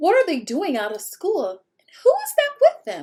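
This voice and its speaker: Using a put-on character voice, a woman sounds raspy and squeaky at an extremely high pitch, speaking at a moderate pace. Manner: disbelieving, alarmed.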